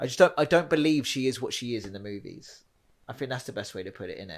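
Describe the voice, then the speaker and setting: Recorded very cleanly over a silent background, a man speaks with a Home Counties accent. His pitch is medium and his intonation lively. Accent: home counties English (Hertfordshire). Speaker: film podcast co-host. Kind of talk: casual chat. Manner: fast, halting with many restarts.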